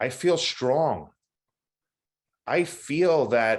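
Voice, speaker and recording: A man's fairly high voice at a very slow pace against a quiet background. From New York City (Queens). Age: 60s. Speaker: person in addiction recovery. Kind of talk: testimony. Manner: halting, many fillers.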